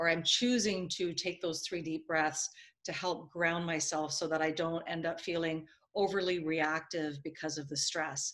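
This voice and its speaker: A woman with a fairly low pitch talks in an ordinary speaking voice at a moderate pace, her intonation fairly even over a quiet background. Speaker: video host and consultant. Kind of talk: interview.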